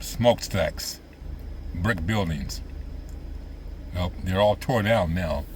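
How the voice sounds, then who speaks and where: Noticeable background noise sits behind a man with a fairly low voice who talks very slowly, with long, frequent pauses and ordinary pitch variation. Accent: American. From US Midwest, central Illinois. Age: 70s. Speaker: vlogger reminiscing. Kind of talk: casual monologue. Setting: outdoors by lake boat docks.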